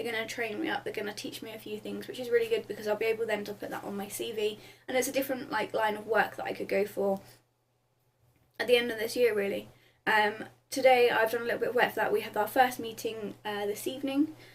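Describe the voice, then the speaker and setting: A woman with a southern English accent talks at a very fast pace, fairly high in pitch with fairly even intonation. Her loudness swings widely. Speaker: vlogger. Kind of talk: casual vlog update. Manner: hesitant with many ums.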